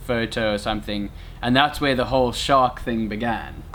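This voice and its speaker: A man's voice, medium in pitch and fairly even in intonation, comes through noticeable background noise. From South Africa, Cape Town. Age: 20s. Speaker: friend of the vlogger. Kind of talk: casual chat.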